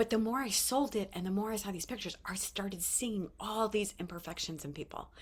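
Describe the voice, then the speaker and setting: A somewhat breathy female voice at a moderate speed. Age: 50s. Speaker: vlogger sharing life lessons. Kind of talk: casual motivational talk to camera.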